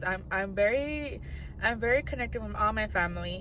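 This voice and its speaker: A woman with an American accent speaks at a moderate pace over noticeable background noise. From US West, Inland Empire, California. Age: 20s. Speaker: content creator. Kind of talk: casual vlog talk.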